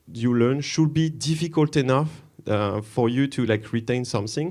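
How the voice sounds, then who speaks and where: With a French accent, a man talks at medium pitch and ordinary pitch variation, recorded very cleanly against a silent background. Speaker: conference speaker, developer relations. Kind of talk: conference talk. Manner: hesitant, many fillers.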